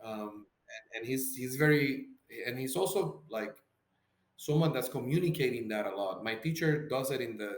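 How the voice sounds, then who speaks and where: A man's medium voice with a Spanish accent, lively intonation and a moderate pace. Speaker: psychotherapist. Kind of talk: podcast interview. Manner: halting, many repeated words.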